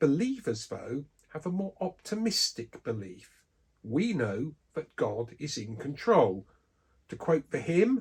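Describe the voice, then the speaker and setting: The speech is very slow, with an English accent. Pitch swings are very wide. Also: man. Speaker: Bible teacher. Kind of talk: scripted religious talk.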